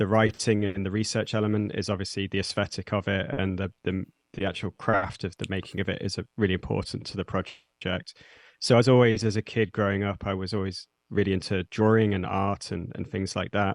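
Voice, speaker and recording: A man with a British accent, fairly low in pitch and monotone in intonation, in a dry, close sound with no echo against a quiet background. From English Midlands (Nottingham). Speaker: zine editor and metal musician. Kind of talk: interview. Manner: halting, many fillers.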